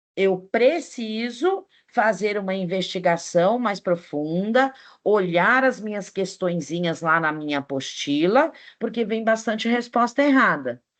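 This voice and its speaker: Speaking at a fairly slow pace, a woman with an unremarkable speaking voice and medium pitch uses lively intonation. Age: 60s. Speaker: teacher. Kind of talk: online class lecture.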